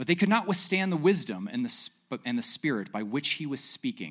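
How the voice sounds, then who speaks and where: Vocal fry and very wide pitch swings at a fairly quick pace. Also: man. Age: 40s. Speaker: preacher. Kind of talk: sermon. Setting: church.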